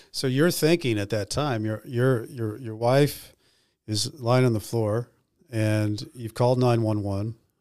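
On a very clean recording with a silent background, a man speaks at a fairly slow pace. He has an unremarkable speaking voice at a medium pitch, with ordinary pitch variation. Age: 50s. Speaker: podcast host, former prisoner. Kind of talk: interview.

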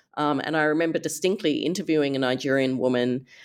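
In a very clean recording with a silent background, a woman with an Australian accent speaks at a very deep, low pitch. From Australia, Perth. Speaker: human rights advocate, author. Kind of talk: interview.

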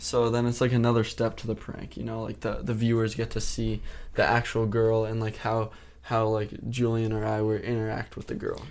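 In an American accent, a man speaks at a moderate pace with medium pitch and monotone, flat intonation. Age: young. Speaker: YouTuber. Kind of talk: casual chat.

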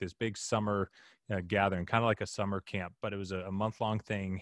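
In a plain, everyday voice with an American accent, the speaker moves at a fairly quick pace. The sound is dry and close with no echo, over a quiet background. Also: man. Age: 20s. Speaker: youth ministry founder and podcast host. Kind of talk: casual interview.

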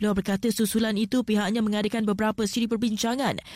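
Recorded very cleanly against a silent background, a woman speaks in a fairly high, somewhat breathy voice. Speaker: news presenter. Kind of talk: news reading. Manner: formal.

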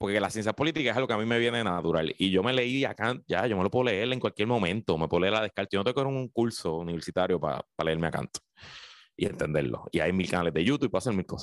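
A man with a Puerto Rican accent talks very fast in a fairly low pitch, recorded with a dry, close sound, no echo, and a quiet background. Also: lively intonation. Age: 30s. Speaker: radio commentator. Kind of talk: casual chat.

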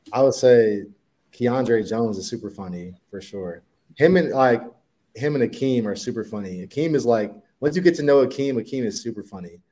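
A man speaks at a medium pitch in a dark, mellow tone. His intonation is lively, with big swings in loudness. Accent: Midwestern American. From Ohio, Dayton and Columbus. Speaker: professional football player. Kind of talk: interview.

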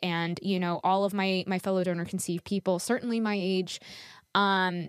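A plain, everyday voice from a woman at medium pitch, moderate pace, dry and close with no echo. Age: 30s. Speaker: podcast host, donor-conceived person. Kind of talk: interview. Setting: video call.

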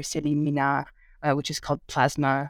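Recorded very cleanly against a silent background, a woman with an American accent talks in a very deep, low voice with flat, monotone intonation, the sound dry and close with no echo. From California Bay Area. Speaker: literature professor. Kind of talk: interview. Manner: halting.

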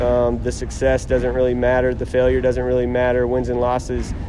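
Noticeable background noise and audible echo from the room accompany this man's speech. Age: 30s. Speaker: college basketball coach. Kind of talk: casual interview. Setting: media day event.

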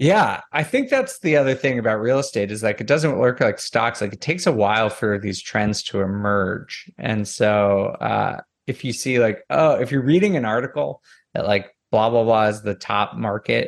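An ordinary speaking voice belongs to this man with an American accent, who talks at a moderate pace with ordinary pitch variation against a quiet background. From US Northeast. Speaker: real estate data analyst. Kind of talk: interview. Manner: casual.

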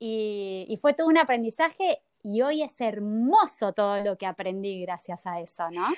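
Her voice is an unremarkable speaking voice, fairly high-pitched, with lively intonation. The woman talks at a fairly slow pace with hardly any pauses, the sound dry and close with no echo. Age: 30s. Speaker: spiritual workshop teacher. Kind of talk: interview.

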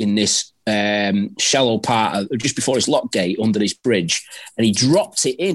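Speaking in a Mancunian accent, a man uses lively intonation, a medium pitch and a moderate pace. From Manchester, northern England. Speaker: predator angler. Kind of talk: casual chat. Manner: halting, repeats words.

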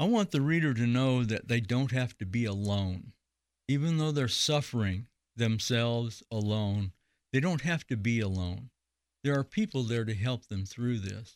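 Here a man talks at medium pitch and a moderate pace, with ordinary pitch variation. The recording is very clean, with a silent background. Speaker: author and cancer survivor. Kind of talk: interview. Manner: halting.

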